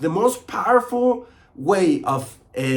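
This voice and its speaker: A man speaks with a Spanish accent. His pitch swings very widely. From Chile. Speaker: motivational coach. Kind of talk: motivational talk to camera. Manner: mumbles a lot.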